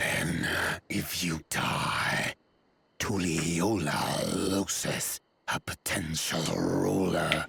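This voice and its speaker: A man puts on a raspy character voice, pitched very deep and low. He speaks very slowly in a flat monotone. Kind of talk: formal, archaic.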